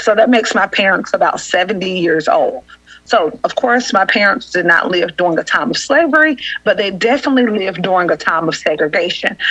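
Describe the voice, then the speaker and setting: A woman in a Southern US accent, fairly quick and with lively intonation, her loudness very even, amid noticeable background noise. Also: medium pitch for a woman. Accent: Southern country dialect. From US South, Augusta, Georgia. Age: 30s. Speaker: housing assistance worker. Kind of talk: podcast interview.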